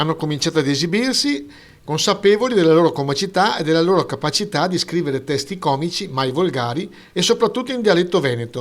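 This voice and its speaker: A man at a very fast pace, high in pitch, with lively intonation. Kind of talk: local news report narration.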